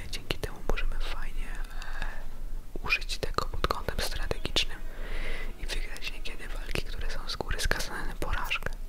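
A soft-spoken man is whispering at a moderate pace over noticeable background noise. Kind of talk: ASMR talk about video games. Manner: soft-spoken, whispered.

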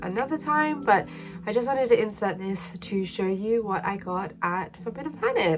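With music in the background, a woman speaks at a moderate pace and medium pitch with lively intonation. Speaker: manga collector. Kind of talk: casual talk to camera.

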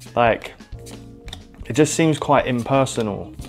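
Faint music plays in the background as a man talks in a British accent. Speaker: trading card game content creator. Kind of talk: casual talk to camera. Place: home room. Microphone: lapel.

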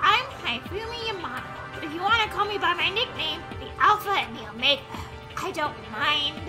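Over loud background music, a breathy, extremely high put-on character voice speaks at a moderate pace. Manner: breathy character voice.

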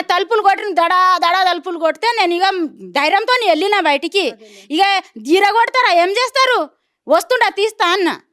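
A woman talks at an extremely high pitch with a bright, sharp tone and ordinary pitch variation. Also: very even loudness. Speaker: villager facing land acquisition. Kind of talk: interview testimony.

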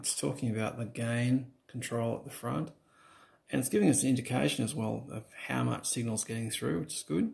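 A man's voice with vocal fry against a quiet background. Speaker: reviewer testing microphone. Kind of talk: casual tutorial commentary. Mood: relaxed, lightly amused. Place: home room. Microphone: phone near.

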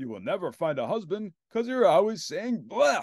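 Putting on a character voice, a man speaks high with vocal fry and big pitch swings. The pace is moderate, and the sound is dry and close with no echo.

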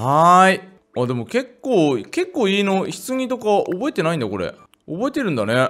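This man's high pitch swings very widely as he talks at a moderate pace. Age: 30s. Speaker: gaming YouTuber. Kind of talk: casual gameplay commentary. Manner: animated.

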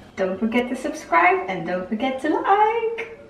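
Recorded with light background noise and audible room echo, a woman speaks. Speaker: makeup vlogger. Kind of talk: casual vlog chat. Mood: cheerful, playful. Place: bathroom. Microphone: phone near.

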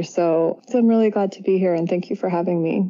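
A woman talks at a moderate pace in a Californian accent. Her voice is fairly low in pitch, with fairly even intonation. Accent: General American, Californian. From US West Coast, San Francisco Bay Area. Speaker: psychotherapist and yoga teacher. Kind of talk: interview.

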